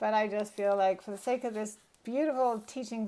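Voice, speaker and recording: Ordinary pitch variation in a woman's fairly high voice. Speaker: drawing teacher. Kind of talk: tutorial. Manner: slow; casual.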